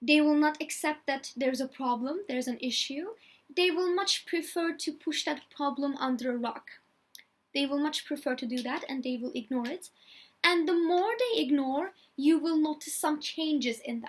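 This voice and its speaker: Her pitch high, a woman speaks with a non-native accent. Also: ordinary pitch variation, moderate pace. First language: not English. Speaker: video blogger. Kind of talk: personality type talk from notes. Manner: halting, many fillers.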